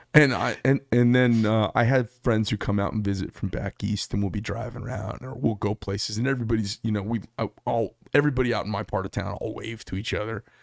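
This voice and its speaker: Talking very fast with an Arizona accent, a man at medium pitch is heard in a dry, close sound with no echo. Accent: Arizona way of talking. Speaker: knife shop owner. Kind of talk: casual chat.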